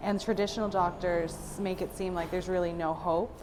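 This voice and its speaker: A woman with a normal speaking voice talks at a fairly quick pace. Her pitch is fairly low, and her intonation stays fairly even. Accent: General American. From Florida, Fort Lauderdale. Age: 20s. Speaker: patient. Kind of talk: testimony.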